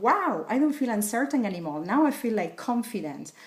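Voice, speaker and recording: With a Spanish accent, a woman speaks in very wide pitch swings against noticeable background noise. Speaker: wellness coach. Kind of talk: tutorial.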